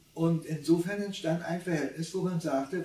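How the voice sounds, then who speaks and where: The speech unfolds at a fairly slow pace, with audible room echo around it. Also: man. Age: 80s+. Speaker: contemporary witness; witness. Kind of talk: interview. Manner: halting. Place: home room.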